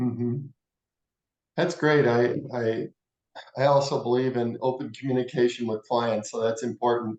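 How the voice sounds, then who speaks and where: Pausing long and often, a man speaks at a moderate pace and medium pitch with fairly even intonation. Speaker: interviewer. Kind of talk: interview questions.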